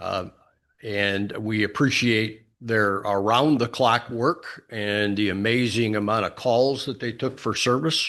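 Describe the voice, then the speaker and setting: Against a quiet background, the speaker goes at a fairly slow pace with fairly even intonation. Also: man, medium pitch for a man. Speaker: township board chair. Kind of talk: public meeting. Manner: halting, many fillers; loud.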